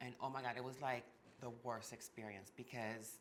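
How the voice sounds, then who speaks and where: Speaking with a Martinican accent, the voice moves at a fairly quick pace with fairly even intonation. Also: woman. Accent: Martinican French Caribbean. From Martinique. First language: French and Creole. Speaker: ballroom performer, house mother. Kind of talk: casual interview chat.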